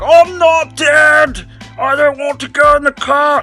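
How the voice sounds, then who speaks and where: In a put-on character voice pitched high, the speaker goes at a fairly slow pace while faint music plays in the background. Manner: bad, exaggerated.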